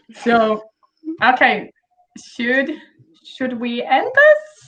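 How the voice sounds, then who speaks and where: Speaking at a very slow pace, a woman talks with a Brazilian accent. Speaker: author and panel host. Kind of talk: casual panel chat. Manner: casual, filler-heavy.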